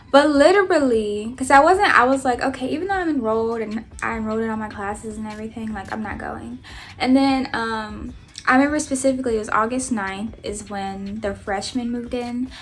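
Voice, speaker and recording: A woman with an American accent at a fairly quick pace, ordinary pitch variation, and big swings in loudness, amid audible room echo and noticeable background noise. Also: fairly high pitch for a woman. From Kansas and Alabama, US. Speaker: YouTuber. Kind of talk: storytime vlog. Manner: casual, filler-heavy.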